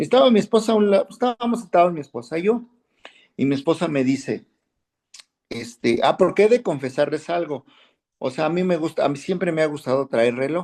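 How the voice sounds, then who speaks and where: A man speaks at a fairly quick pace with lively intonation. He leaves long, frequent pauses. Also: fairly high pitch for a man. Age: 60s. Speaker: Bible class teacher. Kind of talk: class discussion, personal anecdote.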